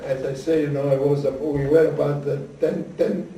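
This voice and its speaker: A man's monotone, flat delivery at a fairly high pitch and moderate pace, amid noticeable background noise. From Island of Rhodes. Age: 80s+. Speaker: Holocaust survivor. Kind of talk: interview answer. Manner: hesitant, halting.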